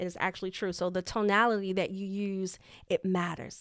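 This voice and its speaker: In a very clean recording with a silent background, a woman of medium pitch speaks at a moderate pace in an animated tone. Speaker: leadership coach and podcast host. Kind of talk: live podcast teaching. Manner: easy to listen to, lowered pitch.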